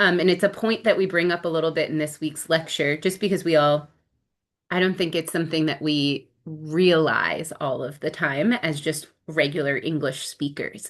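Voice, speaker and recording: This woman has a very deep, low pitch and an American accent. Her intonation is fairly even and her pace is moderate. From New Jersey, US. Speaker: speech-language pathology instructor. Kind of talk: recorded lecture. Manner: casual, many filler ums.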